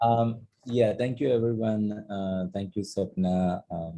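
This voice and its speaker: Speaking with a Keralan accent, a man uses a dark, mellow tone at a fairly slow pace. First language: Malayalam. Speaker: artist. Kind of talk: panel discussion. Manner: halting, many fillers.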